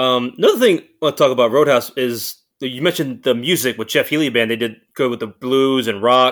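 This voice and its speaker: A man at medium pitch speaks fairly quickly with hardly any pauses and fairly even intonation, in a normal speaking voice. The recording is very clean, with a silent background. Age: 30s. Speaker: movie buff, podcast guest. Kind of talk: casual chat.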